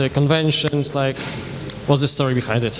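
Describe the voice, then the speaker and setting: In a Polish accent, a man with a fairly high pitch speaks in a flat monotone over noticeable background noise. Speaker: panel moderator. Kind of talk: audience Q&A moderation. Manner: fast; halting.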